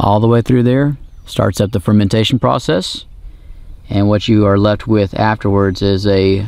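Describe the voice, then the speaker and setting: A man with an ordinary speaking voice and a fairly low pitch talks at a moderate pace, the sound dry with no echo. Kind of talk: tutorial. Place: open country.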